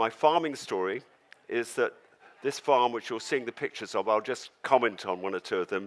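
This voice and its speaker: The speaker has a southern English accent and a moderate pace. The recording is very clean with a silent background. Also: man. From England, London. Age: 70s. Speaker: organic farmer and storyteller. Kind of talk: storytelling talk on stage. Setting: stage with audience.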